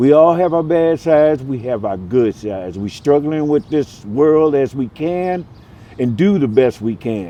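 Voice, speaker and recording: With lively intonation, a man speaks in a plain, everyday voice at a fairly high pitch. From US Midwest, Milwaukee, Wisconsin. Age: 60s. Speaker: homeless man. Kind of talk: street interview. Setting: outdoors on a street corner.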